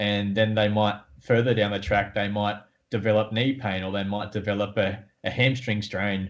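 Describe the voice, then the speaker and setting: A man talks with an Australian accent at a moderate pace. His pitch is fairly low and his intonation monotone and flat. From Australia, Newcastle. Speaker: podiatrist and sports coach. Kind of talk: interview.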